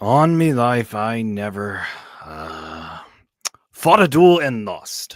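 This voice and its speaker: A man puts on a character voice at a medium pitch. He delivers it at a very slow pace. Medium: read story.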